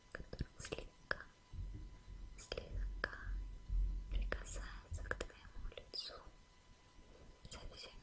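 A woman whispers in a soothing tone. She leaves long, frequent pauses. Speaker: ASMR creator. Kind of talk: soft relaxation talk to viewer. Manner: slow soothing whisper. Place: home room.

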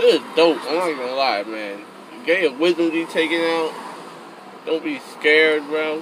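A man at a moderate pace with ordinary pitch variation, a dry sound with no echo, and noticeable background noise. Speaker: vlogger after dental surgery. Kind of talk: casual vlog chat. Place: car. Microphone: phone near.

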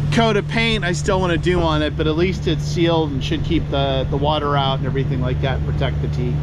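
Loud background noise surrounds a man talking at a fairly quick pace, the sound dry with no echo. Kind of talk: casual vlog chat. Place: boat. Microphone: phone near.

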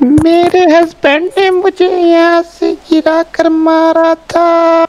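A put-on character voice, monotone and flat, at a very slow pace. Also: female-sounding voice, extremely high pitch for a woman. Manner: sobbing, wailing.

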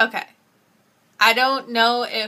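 The voice has a bright, sharp tone. It carries a Canadian accent. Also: woman. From Canada. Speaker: vlogger. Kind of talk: casual talk to camera. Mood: relaxed, smiling. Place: home room. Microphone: webcam.

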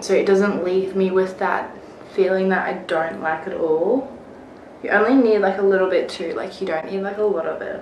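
A woman's moderately paced, fairly even-toned speech, with audible room echo and light background noise. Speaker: vlogger. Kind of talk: casual vlog chat. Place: home room. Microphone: phone near.

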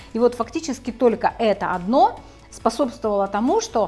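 A woman talks at a fairly quick pace in a high pitch. Faint music plays in the background. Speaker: health blogger. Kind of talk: casual explanatory vlog talk. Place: home room. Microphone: lapel.

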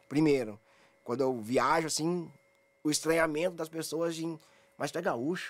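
This man speaks fairly quickly in a fairly high voice with ordinary pitch variation. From Brazil, Porto Alegre. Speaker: anti-racism activist, head of a sports discrimination watchdog. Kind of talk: radio interview. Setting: radio studio. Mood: serious, reflective. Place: studio. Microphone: studio mic.

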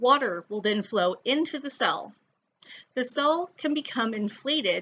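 With a plain, everyday voice, a woman speaks at a moderate pace with lively intonation. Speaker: science educator. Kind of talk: tutorial.

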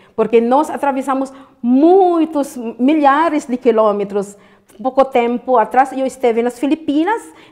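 A woman speaks with a high-pitched voice. The background is quiet. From Philippines. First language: Filipino (Tagalog) (speaking Portuguese). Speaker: interviewee. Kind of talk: interview. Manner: halting. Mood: warm, earnest, encouraging. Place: studio.

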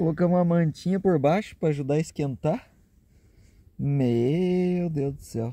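Against a quiet background, a man with a fairly high pitch and a dark, mellow tone talks at a fairly slow pace with ordinary pitch variation, in a dry sound with no echo. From Caxias do Sul, Rio Grande do Sul, Brazil. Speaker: travel vlogger. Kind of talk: casual vlog narration. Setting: outdoors and in a car. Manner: animated.

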